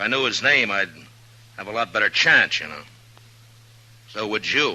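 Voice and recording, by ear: A man speaks in a put-on character voice at a moderate pace, his pitch fairly low and his intonation lively. The tone is bright and sharp.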